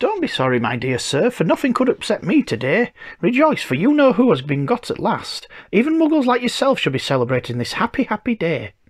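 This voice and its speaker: In a put-on character voice, a man speaks at an extremely high, squeaky pitch. His pace is fairly quick. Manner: joyful, exuberant.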